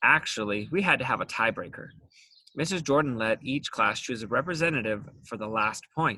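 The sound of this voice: An unforced reading voice rises and falls with lively pitch.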